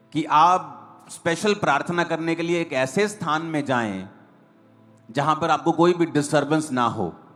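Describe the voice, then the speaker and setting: A man's fairly high voice with ordinary pitch variation over music in the background. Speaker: pastor, church preacher. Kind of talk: church sermon.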